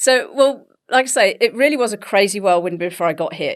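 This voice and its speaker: Very clean recording with a silent background: a woman with an English accent, fairly quick pace and lively intonation. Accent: English, BBC-style. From England. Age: 50s. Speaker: health coach and bodybuilder. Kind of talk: podcast interview.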